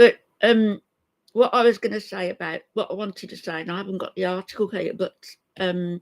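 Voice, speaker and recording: With an English accent, a woman speaks at a medium pitch and a fairly quick pace with fairly even intonation and big swings in loudness, in a dry, close sound with no echo. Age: 70s. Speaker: YouTube live streamer. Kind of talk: casual live-stream chat.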